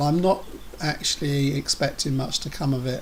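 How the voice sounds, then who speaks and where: Here a man speaks with an English accent. His pitch is fairly high. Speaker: vlogger with a neurological condition. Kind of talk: personal video update. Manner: halting, stammering repetitions.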